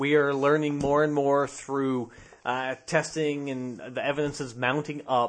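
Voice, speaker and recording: Fairly slow speech from a man at a medium pitch, a plain, everyday voice. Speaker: podcast co-host. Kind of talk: casual chat, comedic banter.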